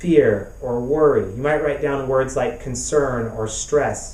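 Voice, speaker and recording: A fairly high-pitched male voice comes through with audible echo from the room. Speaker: pastor and therapist. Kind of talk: web summit talk. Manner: repetitive, halting.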